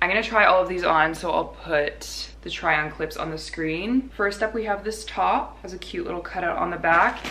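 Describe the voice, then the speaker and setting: At a fairly quick pace, a woman speaks with ordinary pitch variation over light background noise. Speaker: lifestyle vlogger. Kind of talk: casual vlog chat.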